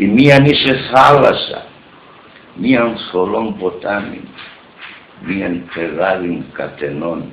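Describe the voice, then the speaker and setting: A man's fairly low, lively voice at a very slow pace, with long, frequent pauses, audible room echo and light background noise. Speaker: poet. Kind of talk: poetry reading. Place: home room. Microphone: earbuds.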